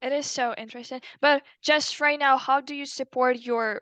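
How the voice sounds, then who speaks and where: Dry and close with no echo, the voice moves at a moderate pace in a flat monotone. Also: woman. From Ukraine. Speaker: language student. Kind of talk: casual interview chat. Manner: halting.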